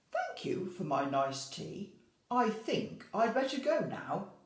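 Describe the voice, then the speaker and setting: A put-on character voice, fairly high in pitch with very wide pitch swings, fairly slow, with slight echo. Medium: read story. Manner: polite.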